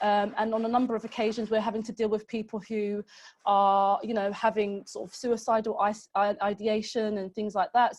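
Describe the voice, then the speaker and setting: A woman with an unremarkable speaking voice, fairly high pitch, fairly even intonation and a fairly quick pace, against a quiet background. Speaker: social prescribing manager. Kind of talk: webinar presentation. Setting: online webinar.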